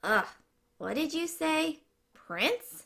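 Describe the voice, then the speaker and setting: A woman performs a put-on character voice, pitched fairly high. The sound is croaky. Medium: read story.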